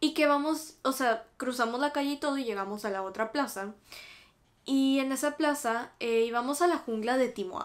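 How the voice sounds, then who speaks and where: A woman's voice in a Mexican accent with ordinary pitch variation. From Mexico. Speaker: YouTuber. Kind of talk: casual chat. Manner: animated. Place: home room.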